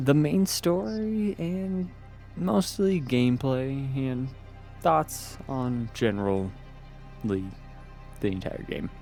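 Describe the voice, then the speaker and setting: Over music in the background, a man speaks at medium pitch with very wide pitch swings. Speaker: game streamer and reviewer. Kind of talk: video game review voice-over.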